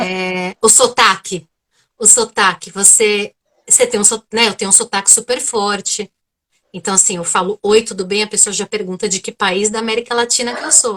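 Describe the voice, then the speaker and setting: At a moderate pace, a woman with a strong São Paulo accent speaks in a fairly high voice with a bright, sharp tone. Her intonation is fairly even, and the sound is dry and close with no echo. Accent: strong São Paulo Brazilian Portuguese. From Brazil, São Paulo. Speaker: psychotherapist. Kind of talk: live video interview.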